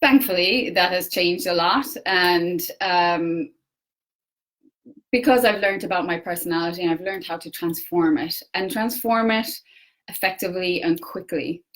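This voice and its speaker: A woman talks at a moderate pace in a medium pitch, her pitch varying in an ordinary way. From Ireland. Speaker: personal development coach. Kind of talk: facebook live talk. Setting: facebook live. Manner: hesitant, many fillers.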